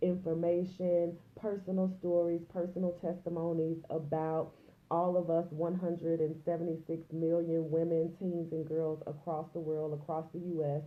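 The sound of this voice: A woman speaks in a low voice with little pitch movement, and the room echo is audible. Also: moderate pace.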